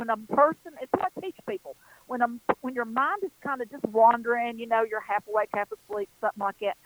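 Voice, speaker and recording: Sounding dry and close with no echo, a woman with an unremarkable speaking voice talks at a fairly quick pace and a fairly high pitch. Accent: American. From western North Carolina. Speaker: psychic. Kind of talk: radio interview. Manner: warm, folksy, self-deprecating.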